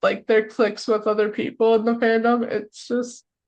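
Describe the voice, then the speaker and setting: In an American accent, a woman talks at a fairly high pitch with monotone, flat intonation. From United States. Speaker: podcast co-host. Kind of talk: casual chat.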